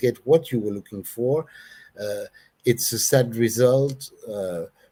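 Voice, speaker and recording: A man speaks at a fairly slow pace and medium pitch. His tone is dark and mellow. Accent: non-native. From Belgium. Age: 60s. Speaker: hair treatment customer. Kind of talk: interview. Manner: halting.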